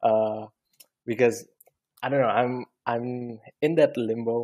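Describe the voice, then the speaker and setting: In an Indonesian accent, a man speaks at a fairly slow pace with a dark, mellow tone. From Indonesia, partly raised abroad. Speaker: podcast host. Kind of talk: casual interview chat. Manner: halting, many fillers.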